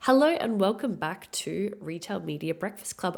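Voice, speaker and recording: At a moderate pace, a woman speaks at a medium pitch with vocal fry. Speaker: podcast host. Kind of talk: reading aloud.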